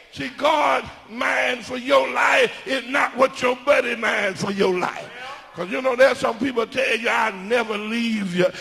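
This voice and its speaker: In a raised, projected voice with an animated tone, a man speaks at an extremely high pitch. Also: ordinary pitch variation, fairly slow pace. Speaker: preacher. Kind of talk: sermon. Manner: animated, emphatic, preaching cadence. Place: church. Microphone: handheld.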